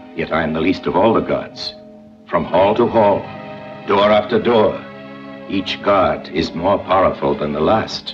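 A man speaks in a fairly low voice with long, frequent pauses. Faint music plays in the background. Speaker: narrator. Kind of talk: dramatic parable narration. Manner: measured, engaging. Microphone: old recording.

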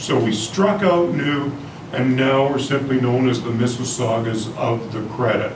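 Talking at a moderate pace, a man is heard over noticeable background noise. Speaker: presenter. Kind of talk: public talk. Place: hall. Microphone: camera far.

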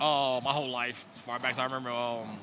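A man speaks at a medium pitch in a monotone, flat delivery, with noticeable background noise and a dry sound with no echo. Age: 40s. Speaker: snake breeder; guest. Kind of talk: casual chat. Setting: reptile expo. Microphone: handheld.

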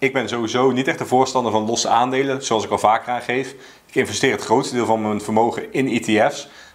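A man speaks at a fairly quick pace. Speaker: personal finance vlogger. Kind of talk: explainer talking to camera. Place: home room.

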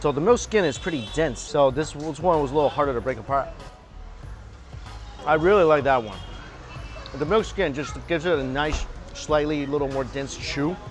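Over clear background music, a man speaks with ordinary pitch variation and long, frequent pauses. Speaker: food vlogger. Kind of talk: casual tasting commentary. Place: street. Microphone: lapel.

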